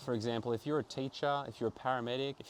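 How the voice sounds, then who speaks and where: A man speaks in an Australian accent with fairly even intonation. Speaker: travel vlogger and actor. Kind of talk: casual vlog reflection. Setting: outdoors in a backyard.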